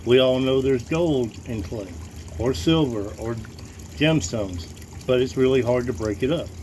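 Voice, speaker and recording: A man's medium-pitched voice with very wide pitch swings at a moderate pace, over noticeable background noise. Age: 50s. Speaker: gold prospector. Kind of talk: casual tutorial. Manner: halting, with many fillers and repetitions.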